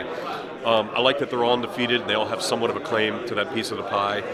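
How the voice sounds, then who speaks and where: A man at medium pitch and a very fast pace, fairly even in intonation, over noticeable background noise. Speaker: boxing ring announcer. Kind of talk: interview answer.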